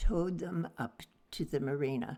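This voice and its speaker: Pitched very deep and low, a woman's voice carries vocal fry. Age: 80s+. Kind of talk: interview answer.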